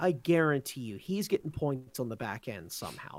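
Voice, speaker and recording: Lively intonation from a man with a fairly high pitch and a plain, everyday voice. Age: 30s. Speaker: podcast guest. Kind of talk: casual chat.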